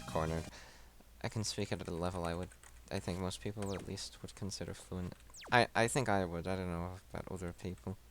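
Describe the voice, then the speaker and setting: Fairly even intonation at a fairly quick pace, with an American accent. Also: man, very deep, low pitch for a man. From US, Las Vegas (Hungarian family). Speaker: gaming video commentator. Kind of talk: casual let's play commentary. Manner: halting, many false starts.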